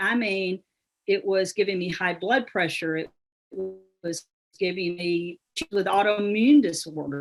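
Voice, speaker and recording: A woman with a Southern US accent speaks at a fairly slow pace. Her pitch is medium and its variation ordinary. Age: 60s. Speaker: business founder and speaker. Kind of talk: motivational talk.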